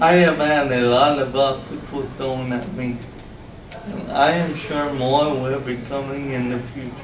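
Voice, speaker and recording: With audible room echo and noticeable background noise, a man speaks at a fairly slow pace in a fairly high voice with fairly even intonation. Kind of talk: presentation. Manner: loud.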